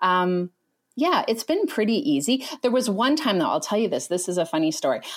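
A woman's fairly high voice swings very widely in pitch at a fairly quick pace, her loudness very even, on a very clean recording with a silent background. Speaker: tarot card reader. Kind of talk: casual chat.

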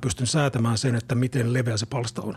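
A somewhat breathy man at a fairly quick pace. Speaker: podcast co-host. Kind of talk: casual chat.

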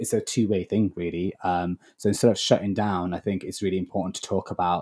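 Very fast and in a Lancashire accent, a man speaks with a fairly low pitch, a dark, mellow tone and flat, monotone intonation. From northern England, Blackburn. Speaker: actor. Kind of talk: interview. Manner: halting.

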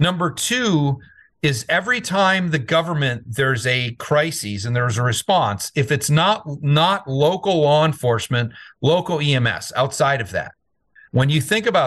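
A normal speaking voice from a man, fairly high in pitch with lively intonation, at a moderate pace against a quiet background. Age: 50s. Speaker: CEO of a security firm, military veteran. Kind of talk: interview.

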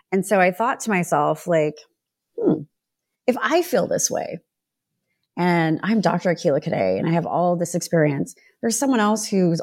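A woman with an American accent speaks at a moderate pace in a fairly low voice, her pitch varying in an ordinary way, on a very clean recording with a silent background. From Sacramento, California. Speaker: diversity consultant and podcaster. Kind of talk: casual podcast chat. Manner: animated, joking.

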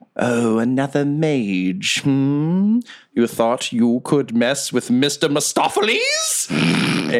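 A man's put-on character voice at medium pitch, delivered at a very slow pace. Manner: haughty, pompous.

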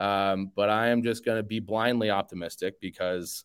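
With a Chicago accent, a man talks at a fairly quick pace. His intonation is fairly even. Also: dry, close sound with no echo, very clean recording, silent background. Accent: Chicago American. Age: 30s. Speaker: sports podcaster. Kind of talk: casual interview chat.

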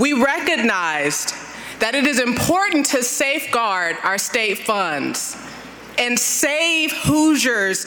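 A woman with an American accent speaks very slowly at high pitch, with very wide pitch swings and very even loudness. Audible room echo and noticeable background noise surround her voice. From Compton, California. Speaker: former state official. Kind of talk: speech introduction. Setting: stage with audience.

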